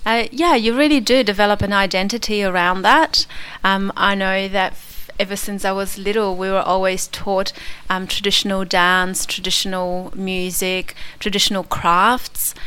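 Bright and sharp in tone, a woman speaks at a medium pitch with an Australian accent. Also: ordinary pitch variation, moderate pace. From Poland, then Australia from about age 10. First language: Polish. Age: 40s. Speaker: immigrant interviewee. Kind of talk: radio interview. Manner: hesitant, many fillers.

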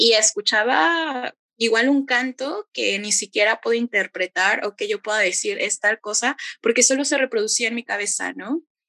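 A woman with a Mexico City accent, fairly high-pitched and bright, sharp in tone, with lively intonation at a moderate pace, the sound dry and close with no echo. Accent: Mexico City Spanish (chilango). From Mexico City outskirts. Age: 20s. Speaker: bike activist and workshop leader. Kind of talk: casual interview.

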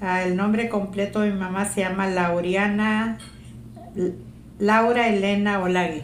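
A woman talks at a medium pitch and a fairly slow pace, in a monotone with very even loudness. Noticeable background noise and audible room echo surround her. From Zacatecas, Mexico. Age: 60s. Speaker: interviewee, family oral history. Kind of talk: oral history interview. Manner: sounds stern, taken as angry.

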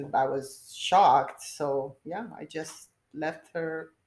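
A woman speaks in a Romanian accent. Her pitch is fairly low, with ordinary variation. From Romania, Bucharest. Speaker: nurse. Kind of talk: interview.

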